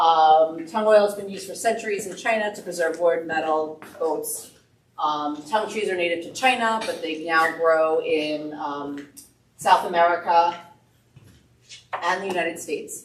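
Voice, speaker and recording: Her voice fairly low, a woman shows ordinary pitch variation and big swings in loudness, with audible room echo. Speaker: business owner presenting wood finishes. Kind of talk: presentation to a woodworking club. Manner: fast.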